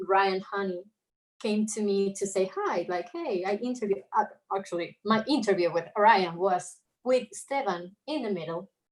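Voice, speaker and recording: A woman with an Argentine accent speaks at a moderate pace and medium pitch, with ordinary pitch variation. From Argentina, Buenos Aires. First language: Spanish. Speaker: illustrator. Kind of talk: casual chat.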